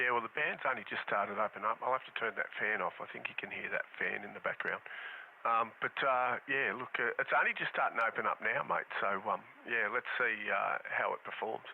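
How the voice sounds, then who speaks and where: Against noticeable background noise, a man talks with an Australian accent. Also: fairly quick pace. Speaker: ham radio operator. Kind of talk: amateur radio contact. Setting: radio transmission.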